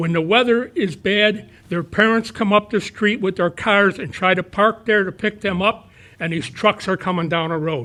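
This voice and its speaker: A man's raised, projected voice, high-pitched and bright and sharp in tone, at a moderate pace with ordinary pitch variation. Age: 80s+. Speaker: retired resident speaking at public comment. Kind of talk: public comment at town meeting. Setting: town board meeting.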